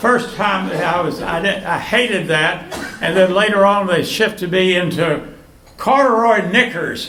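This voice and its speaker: Through noticeable background noise and audible room echo, a man with a high pitch uses a raised, projected voice at a moderate pace, with ordinary pitch variation. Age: 80s+. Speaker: birthday honoree. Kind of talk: speech to party guests. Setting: birthday party with audience. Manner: halting.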